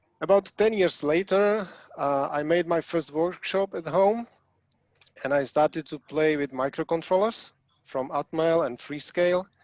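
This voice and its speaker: Ordinary pitch variation in a dry, close sound with no echo. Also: man, high pitch for a man, fairly slow pace. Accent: Czech. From Czechoslovakia. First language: Czech. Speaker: hobbyist programmer. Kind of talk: presentation. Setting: video call.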